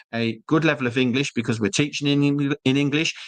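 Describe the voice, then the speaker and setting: Against a quiet background, a man with a slight British accent talks at a fairly quick pace in a medium pitch. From UK. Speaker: school representative. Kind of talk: webinar presentation. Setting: live online webinar.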